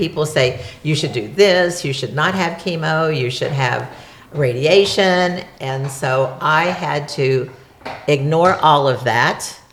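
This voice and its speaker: A woman with a very deep, low voice and ordinary pitch variation is heard amid noticeable background noise and audible room echo. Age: 70s. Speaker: cancer survivor, host's mother. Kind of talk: interview.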